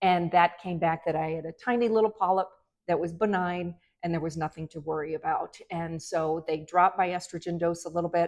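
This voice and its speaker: An unremarkable speaking voice from a woman, fairly low in pitch, at a fairly quick pace with fairly even intonation. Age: 60s. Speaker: physician. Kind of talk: medical advice talk to camera.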